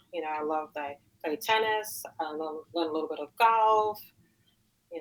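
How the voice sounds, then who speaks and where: In a New York accent, this speaker talks at a moderate pace with ordinary pitch variation. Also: woman. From Queens, New York. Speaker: weightlifter and tutor. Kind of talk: interview. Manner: halting.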